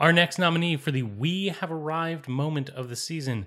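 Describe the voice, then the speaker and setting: Over a very clean recording with a silent background, a man speaks in an ordinary speaking voice, fairly high in pitch, at a fairly slow pace. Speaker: podcast host. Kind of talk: comedic banter, awards show.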